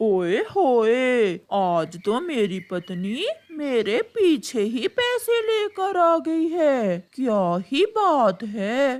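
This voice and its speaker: A man's cartoonish character voice, extremely high in pitch, with very wide pitch swings at a very slow pace. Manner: sly, boastful.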